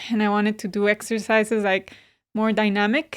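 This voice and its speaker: In a very clean recording with a silent background, a woman with a Spanish accent talks at a fairly quick pace and a fairly high pitch. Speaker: yoga teacher and therapist. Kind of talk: podcast interview.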